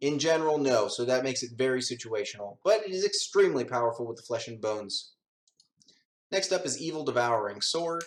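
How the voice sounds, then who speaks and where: Using an ordinary speaking voice, a man talks at a fairly quick pace. His pitch is fairly high, with ordinary pitch variation. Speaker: gaming youtuber. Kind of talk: tutorial.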